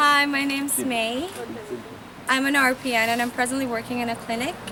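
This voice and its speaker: Noticeable background noise surrounds a woman with a raised, projected voice and a high pitch. She talks at a fairly quick pace with fairly even intonation. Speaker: nurse. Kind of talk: interview testimony.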